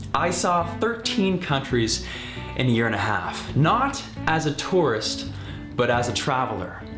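Clear background music under a man's upbeat, energetic tone, very wide pitch swings, and a fairly slow pace. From Canada. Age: 20s. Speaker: travel video host and freelance videographer; travel video host. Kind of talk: travel host demo reel, casual talk to camera. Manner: upbeat, energetic, playful. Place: home room.

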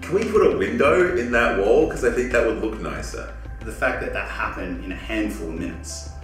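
Clear music plays in the background as a man speaks at a fairly quick pace amid audible room echo. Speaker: interviewee. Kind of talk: interview answer. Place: office.

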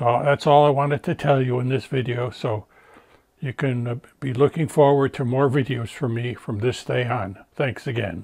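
Somewhat breathy, a man speaks at a moderate pace with fairly even intonation over a quiet background. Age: 70s. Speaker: Bible prophecy video host. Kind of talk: casual talk to camera. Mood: warm, reassuring. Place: studio. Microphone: lapel.

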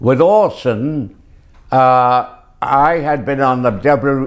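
A man with ordinary pitch variation against a quiet background. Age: 80s+. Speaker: actor. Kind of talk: interview answer. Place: home room. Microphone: lapel.

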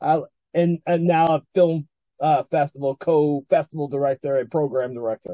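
A man with an American accent, fairly high in pitch, at a moderate pace with fairly even intonation over a quiet background. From United States. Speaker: film festival host and founder. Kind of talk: interview. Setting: video call. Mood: friendly, upbeat. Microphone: video call.

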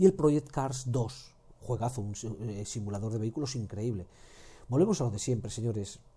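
A man speaks in a medium pitch with a dark, mellow, somewhat breathy tone. His pitch varies in an ordinary way, broken by long, frequent pauses. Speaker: gaming YouTuber. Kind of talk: game deals roundup. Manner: fast; animated.

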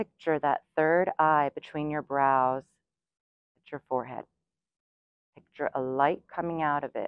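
A woman speaks with a very deep, low pitch and fairly even intonation. Her fairly slow delivery has long, frequent pauses over a quiet background. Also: dry sound with no echo. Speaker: yoga instructor. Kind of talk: guided yoga class instruction. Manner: steady counted breath cues. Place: garden.

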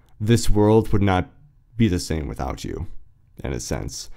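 On a very clean recording with a silent background, a man's very deep, low, dark and mellow voice carries vocal fry. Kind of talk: podcast monologue. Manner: casual, reflective.

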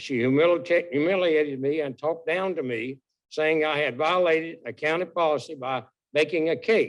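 A man with a Southern US accent and a fairly high pitch talks at a moderate pace with ordinary pitch variation. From North Carolina. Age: 80s+. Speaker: military veteran, public commenter. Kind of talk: public comment at county meeting. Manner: halting.

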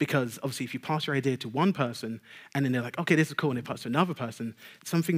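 With a London accent, a man is speaking. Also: quiet background. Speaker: technical game designer; conference speaker. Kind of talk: conference talk. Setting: stage with audience. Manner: stutter, pauses; fast talker. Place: stage.

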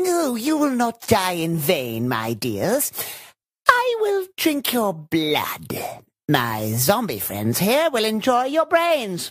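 Someone delivers a put-on character voice at a very slow pace. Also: man, high pitch for a man.

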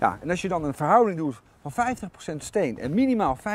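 A man speaks at a fairly quick pace with very wide pitch swings. The sound is dry with no echo, and there is light background noise. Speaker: tv presenter. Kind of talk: tutorial. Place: garden. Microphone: lapel.

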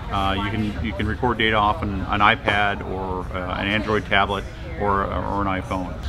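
A man's fairly low voice at a fairly quick pace, with clear music in the background. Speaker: presenter. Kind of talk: interview answer. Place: hall.

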